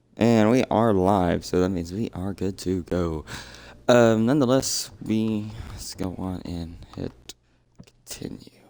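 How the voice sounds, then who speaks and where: Delivery is fairly slow with ordinary pitch variation and big swings in loudness. The setting is quiet. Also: man, fairly low pitch for a man. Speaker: gaming streamer. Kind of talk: let's play commentary. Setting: home at night, household asleep. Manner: quiet, subdued.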